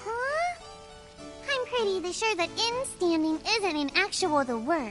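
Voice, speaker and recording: In an extremely high-pitched, put-on character voice, the speaker moves at a fairly slow pace while clear music plays in the background. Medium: machinima. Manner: huffy.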